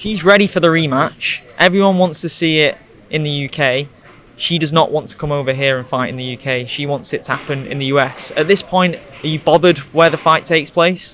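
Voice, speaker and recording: Someone speaks at a fairly quick pace with ordinary pitch variation over noticeable background noise. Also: man, fairly high pitch for a man. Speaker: MMA interviewer. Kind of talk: post-fight interview. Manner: speaking quietly.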